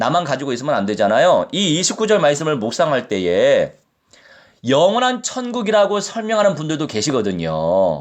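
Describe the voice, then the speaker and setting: This man has a fairly high pitch and very wide pitch swings. His pace is moderate. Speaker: pastor. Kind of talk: sermon.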